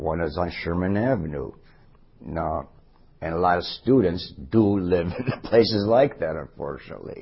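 A man with a very deep, low pitch and a somewhat breathy voice speaks fairly slowly, his intonation lively. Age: 60s. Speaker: city council candidate. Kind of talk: candidate interview.

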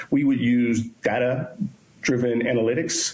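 Speaking at medium pitch with an American accent, a man is heard amid audible room echo and noticeable background noise. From Pittsburgh, Pennsylvania. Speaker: police chief candidate. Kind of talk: job interview. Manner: halting, many repeated words and fillers.

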